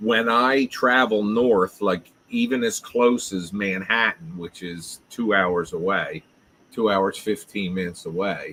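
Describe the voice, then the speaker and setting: Speaking at a fairly slow pace, a man uses a fairly low pitch with ordinary pitch variation and a bright, sharp tone. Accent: South Jersey. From South Jersey. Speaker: live streamer. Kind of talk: casual chat. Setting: live stream.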